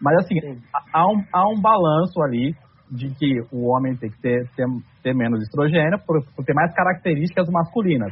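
This plain, everyday voice moves at a moderate pace with lively intonation. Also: man, fairly high pitch for a man. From southern Brazil, Santa Catarina. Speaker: nutrition content creator. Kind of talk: podcast conversation.

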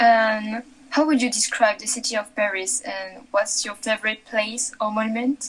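Noticeable background noise behind a woman with a French accent, fairly high pitch, fairly even intonation and a moderate pace. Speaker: co-interviewer. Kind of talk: interview.

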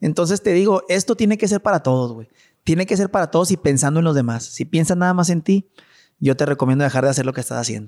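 A man's very fast, fairly high-pitched voice, dry and close with no echo, on a very clean recording with a silent background. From Mexico, Chihuahua. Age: 30s. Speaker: businessman. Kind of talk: casual chat. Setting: at home.

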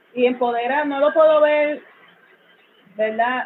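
A woman's fairly slow speech with fairly even intonation. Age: 40s. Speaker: social worker. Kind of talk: interview.

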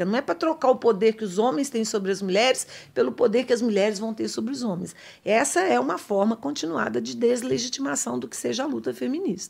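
A woman speaks fairly quickly at a fairly high pitch, with very wide pitch swings and vocal fry. The recording is very clean, with a silent background. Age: 50s. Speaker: political science professor. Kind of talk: interview.

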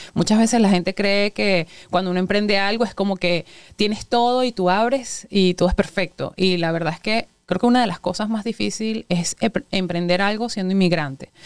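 At a fairly quick pace, the speaker uses an ordinary speaking voice. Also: woman, medium pitch for a woman, fairly even intonation. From Venezuela. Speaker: restaurant owner and chemical engineer. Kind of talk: interview.

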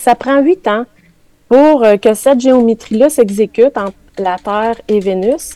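Speaking very slowly, a woman has a Quebec accent and a fairly high pitch with ordinary variation. The sound is dry and close, with no echo. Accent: Québécois French. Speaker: spiritual columnist. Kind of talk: radio chronicle on spirituality. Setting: radio studio with live chat.

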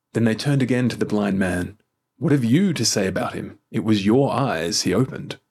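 A man with an Australian accent, medium pitch and ordinary pitch variation. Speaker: church minister leading daily prayer. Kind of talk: formal scripture reading and liturgical prayer, solemn and devotional. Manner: measured, reverent, unhurried, even cadence; formal, intoned prayerful delivery.

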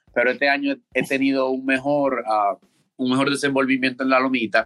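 A voice with a Dominican accent and a bright, sharp tone speaks at a moderate pace, with a dry, close sound and no echo. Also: man. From Dominican Republic, Santo Domingo. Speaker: college baseball player. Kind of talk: interview.

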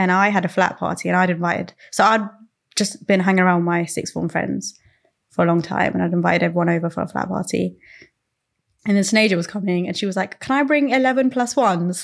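A woman speaks with a London accent at medium pitch. Her pace is very fast, and her pitch variation is ordinary. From south London, England (Croydon), Sri Lankan Tamil family. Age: 20s. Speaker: podcast guest. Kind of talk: casual chat.

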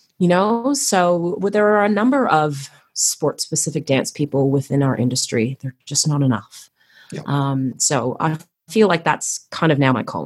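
A woman speaks at a moderate pace with a very deep, low pitch and lively intonation, her tone energetic and animated. The recording is very clean, with a silent background. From Canada, Toronto. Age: 40s. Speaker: choreographer and artistry coach for gymnastics. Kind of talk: casual interview chat. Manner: energetic, animated.

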